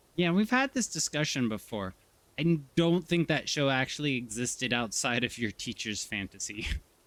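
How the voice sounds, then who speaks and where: A man with a normal speaking voice talks at a moderate pace. His medium pitch moves with lively intonation. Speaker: streamer. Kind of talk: casual chat.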